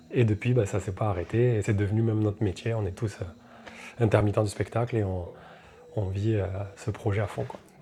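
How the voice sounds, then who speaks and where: Music in the background behind a fairly low-pitched man at a fairly quick pace, with fairly even intonation and long, frequent pauses. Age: 30s. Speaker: reggae singer. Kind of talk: interview. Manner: casual, hesitant with fillers.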